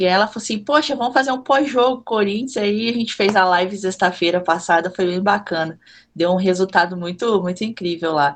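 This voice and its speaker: Speaking at a fairly quick pace with hardly any pauses, a woman with a Minas Gerais accent uses a medium pitch and ordinary pitch variation over a quiet background. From Minas Gerais, Brazil (Juiz de Fora). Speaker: content creator and football fan. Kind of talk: casual podcast chat.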